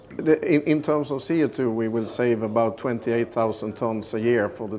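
Light background noise runs under a man's speech. He goes at a fairly slow pace with ordinary pitch variation. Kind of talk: interview answer. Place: boat. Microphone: lapel.

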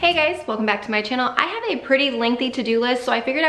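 In a room with audible echo, a woman with a high pitch speaks at a very fast pace with ordinary pitch variation. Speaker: family lifestyle vlogger. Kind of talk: casual vlog chat. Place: home room.

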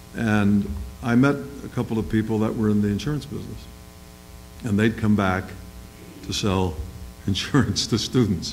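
The speaker moves at a moderate pace with ordinary pitch variation and long, frequent pauses. Faint music plays in the background. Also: man, fairly low pitch for a man. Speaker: business executive; panelist. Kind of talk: panel discussion. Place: hall. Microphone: podium.

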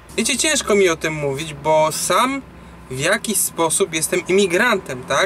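A man speaking at a fairly slow pace, over light background noise. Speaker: truck driver vlogger. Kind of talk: casual vlog chat, opinion. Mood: serious, concerned. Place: car. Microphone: phone near.

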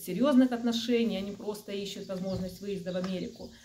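A woman at a fairly quick pace, with ordinary pitch variation. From Ukraine. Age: 40s. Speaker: video blogger. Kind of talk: casual monologue to camera. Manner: friendly, chatty. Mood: calm, earnest. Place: home room. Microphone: phone near.

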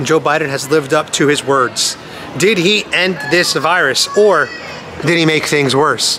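Over noticeable background noise, a man talks fairly slowly in a fairly high voice with ordinary pitch variation. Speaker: YouTuber doing street interviews. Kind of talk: street interviews. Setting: outdoors. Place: street. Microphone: phone near.

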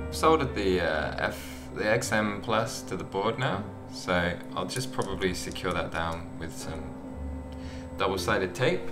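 A man talks at a fairly slow pace. Clear music sits in the background. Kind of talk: casual vlog chat. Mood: self-mocking, lighthearted. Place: home room.

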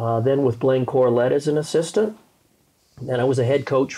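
A man talks at a moderate pace with a medium pitch. His tone is dark and mellow, with ordinary pitch variation. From Colorado. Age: 50s. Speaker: basketball coach. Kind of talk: casual chat. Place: home room. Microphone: lapel.

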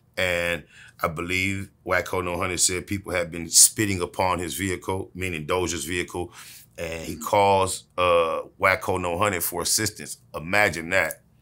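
A man's very deep, low voice in a monotone, flat delivery at a moderate pace. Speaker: interviewee. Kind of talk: interview answer. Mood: dismissive, sarcastic storytelling. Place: home room.

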